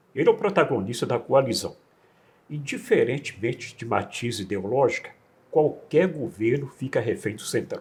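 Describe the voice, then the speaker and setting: Somewhat breathy, a man talks in a fairly high pitch with very wide pitch swings. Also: moderate pace. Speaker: interviewer. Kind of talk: interview questions.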